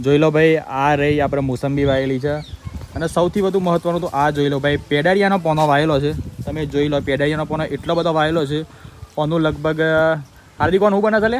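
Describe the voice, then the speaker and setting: Through noticeable background noise, a man talks at a fairly high pitch with fairly even intonation. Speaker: vlogger. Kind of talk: casual vlog narration.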